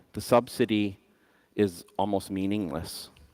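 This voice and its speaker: Recorded very cleanly over a silent background, a man's voice sounds dry and close with no echo. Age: 50s. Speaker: conference speaker, bitcoin system designer. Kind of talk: conference talk.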